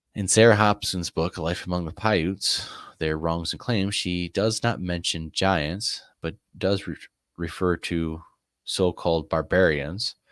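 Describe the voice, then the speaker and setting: A man with a very deep, low pitch and fairly even intonation at a fairly slow pace, in a dry, close sound with no echo on a very clean recording with a silent background. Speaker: live-stream host. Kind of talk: reading aloud on a live stream. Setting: live stream. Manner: halting, stumbling over words.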